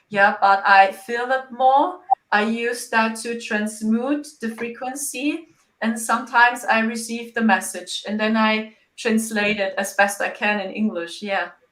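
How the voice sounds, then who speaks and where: Speaking with a German accent, a woman has a fairly high pitch, ordinary pitch variation and a fairly slow pace. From Germany. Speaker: psychic medium. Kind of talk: interview.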